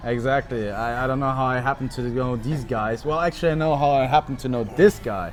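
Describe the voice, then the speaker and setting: Music plays in the background as a man speaks at a medium pitch and a fairly quick pace. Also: ordinary pitch variation, hardly any pauses. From Germany, Munich. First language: German. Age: 20s. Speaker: podcast guest, sales worker at a tech company. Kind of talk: casual interview.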